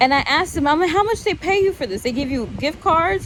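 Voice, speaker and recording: A woman speaks loudly, with an animated tone and lively intonation. Background noise is noticeable. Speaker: vlogger. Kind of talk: casual vlog rant.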